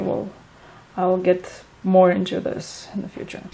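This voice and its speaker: A woman with a Romanian accent, noticeable background noise behind her. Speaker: vlogger. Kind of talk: casual vlog update. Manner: hesitant, many fillers.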